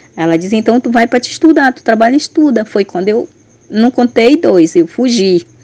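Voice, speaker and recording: A woman with a fairly high pitch and a dark, mellow tone speaks at a fairly quick pace, her intonation lively and her loudness swinging widely, in a dry, close sound with no echo. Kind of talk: testimony.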